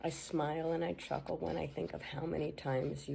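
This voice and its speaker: Amid noticeable background noise, a woman speaks with lively intonation at a moderate pace. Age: 60s. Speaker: sibling giving a tribute. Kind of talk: reading aloud a written tribute.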